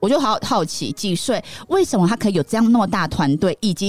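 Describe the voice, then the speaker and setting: Lively intonation colors a woman's normal speaking voice at a medium pitch. She talks at a fairly quick pace. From Taiwan, Taichung. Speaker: podcast host and image consultant. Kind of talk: casual chat.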